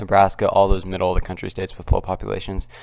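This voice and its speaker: Quietly and at a very fast pace, a man talks with fairly even intonation. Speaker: political commentary youtuber. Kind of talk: casual vlog commentary. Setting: at home. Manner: halting.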